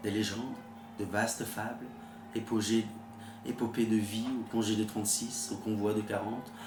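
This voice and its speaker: Music plays in the background behind a man. His medium-pitched voice stays monotone and flat. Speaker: author reading own work. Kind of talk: audiobook short story reading. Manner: quiet, late-night delivery.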